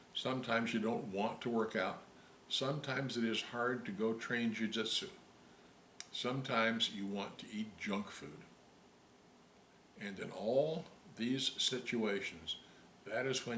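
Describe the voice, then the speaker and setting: A man talks at a medium pitch. Room echo is audible, along with noticeable background noise. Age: old. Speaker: volunteer reader of children's books. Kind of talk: casual talk to children; reading aloud.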